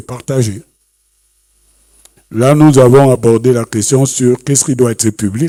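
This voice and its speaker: Dry and close with no echo, a man's dark, mellow voice, medium in pitch with fairly even intonation, moves at a fairly slow pace. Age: 70s. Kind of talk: panel talk. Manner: halting.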